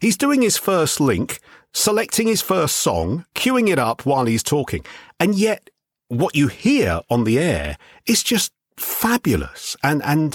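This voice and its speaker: A man speaks with a London accent and vocal fry at a fairly slow pace, his pitch swinging very widely. The recording is very clean with a silent background, and the sound is dry and close with no echo. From southeast London (Greenwich). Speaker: radio DJ. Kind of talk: interview.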